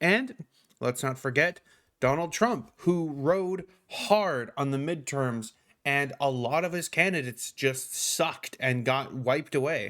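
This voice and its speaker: The pace is fairly slow. Pitch varies in an ordinary way. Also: man, fairly high pitch for a man. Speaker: political news commentator. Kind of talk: news commentary reading an article; casual commentary. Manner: halting, many fillers and restarts.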